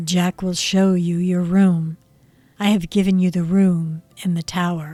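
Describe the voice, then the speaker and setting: Using a put-on character voice, a woman speaks at a medium pitch and a moderate pace in a monotone, flat intonation. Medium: read story. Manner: flat, ritual, repetitive.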